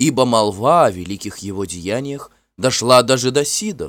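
With a quiet background behind it, a natural voice reads aloud and shifts pitch in an ordinary way.

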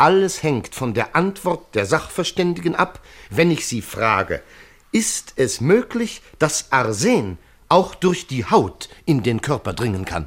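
A man puts on a character voice with a fairly bright tone and big pitch swings around a medium pitch. He goes at a fairly slow pace with few pauses.

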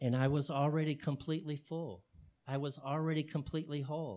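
This man has an unremarkable speaking voice, fairly high in pitch with ordinary pitch variation, recorded very cleanly against a silent background. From Texas, Houston. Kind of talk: talk to an audience.

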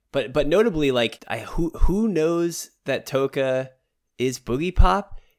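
On a very clean recording with a silent background, a man with a fairly high pitch talks at a fairly slow pace with lively intonation in a plain, everyday voice. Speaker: podcast co-host. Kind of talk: casual chat.

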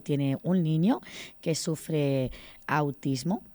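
A woman with a low voice is heard on a very clean recording against a silent background.

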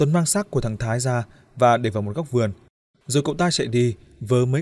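A natural reading voice is heard. Little sound comes from the background.

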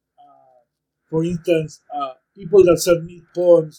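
A man with a Spanish accent speaks at a fairly slow pace in a high pitch. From Argentina, Buenos Aires. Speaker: poet. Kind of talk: casual chat. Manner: halting.

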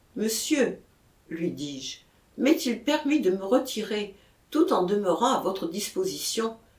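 Lively intonation in a natural reading voice.

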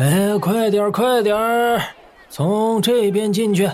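Using a put-on character voice, a man talks very slowly in a high pitch, with ordinary pitch variation and very even loudness. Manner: weak, listless.

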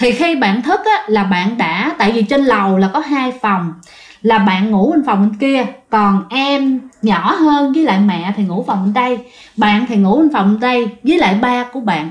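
A woman's fairly high voice with lively intonation at a moderate pace.

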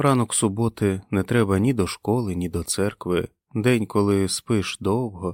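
Delivered in an unforced reading voice, the speech comes through against a quiet background.

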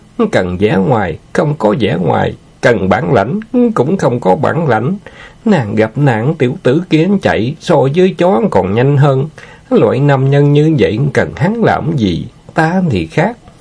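A man's put-on character voice, medium in pitch with big swings, fairly slow, slightly mellow in tone, with a slightly husky edge and vocal fry

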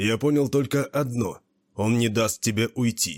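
A quiet background, fairly even intonation, and reading aloud in a natural voice

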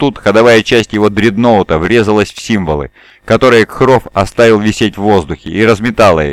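Pitch rises and falls in an ordinary way across this unforced reading voice.

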